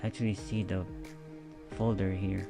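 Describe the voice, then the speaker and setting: Whispering and soft-spoken, a man talks at a moderate pace with music in the background. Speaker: tech tutorial creator. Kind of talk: screen-recorded software tutorial. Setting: spare low-quality microphone. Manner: near-whispered, soft.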